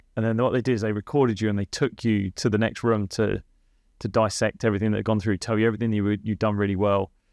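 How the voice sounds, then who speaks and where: Against a quiet background, a man with a fairly low pitch speaks at a very fast pace in monotone, flat intonation. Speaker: podcast host and cricket coach. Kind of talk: casual podcast conversation. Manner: tends to speak fast.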